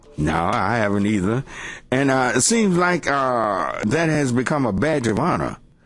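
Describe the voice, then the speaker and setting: In a room with audible echo, a man at medium pitch speaks at a moderate pace with very wide pitch swings and very even loudness. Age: old. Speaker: radio host and pastor. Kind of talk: call-in talk radio. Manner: halting, many fillers.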